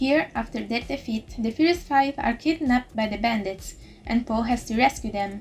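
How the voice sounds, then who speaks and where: Music plays in the background as a woman speaks at a moderate pace. Her voice is fairly high, with ordinary pitch variation. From Italy. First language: Italian. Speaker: YouTuber and VTuber reviewer. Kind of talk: scripted review narration. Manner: quiet, not loud. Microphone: poor audio quality.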